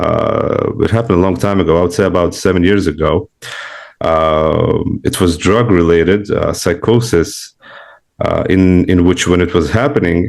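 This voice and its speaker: The speaker has a non-native accent and a moderate pace. Loudness stays very even, with ordinary pitch variation. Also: man, very deep, low pitch for a man. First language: not English. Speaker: spiritual seeker, client. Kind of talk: one-on-one spiritual consultation. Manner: halting, many fillers.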